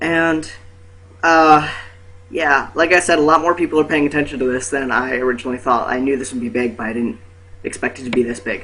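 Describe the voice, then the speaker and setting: Noticeable background noise sits under a man who speaks with a fairly high pitch, ordinary pitch variation and a fairly quick pace. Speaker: vlogger. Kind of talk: casual vlog. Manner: hesitant, many fillers.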